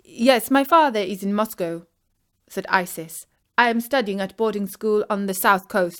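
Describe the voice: Over a quiet background, plain reading aloud, the pitch shifting in an ordinary way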